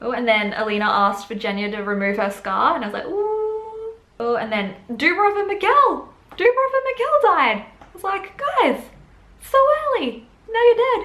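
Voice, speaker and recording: A woman's extremely high voice with very wide pitch swings and big swings in loudness, amid noticeable background noise and audible room echo. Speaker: book and TV reviewer. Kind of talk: casual video review. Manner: fast; rambling, casual.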